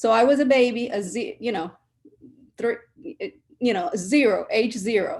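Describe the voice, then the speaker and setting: With a normal speaking voice, a woman talks at a fairly high pitch with ordinary pitch variation against a quiet background. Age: 60s. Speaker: panelist. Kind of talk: panel discussion.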